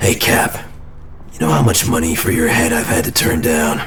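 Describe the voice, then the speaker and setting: A man does a put-on character voice at medium pitch and a moderate pace, with clear background noise behind him. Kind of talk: audio drama performance.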